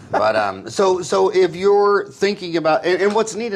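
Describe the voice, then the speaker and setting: Over noticeable background noise, a man with a high pitch speaks using lively intonation. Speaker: podcast host. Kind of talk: casual interview conversation.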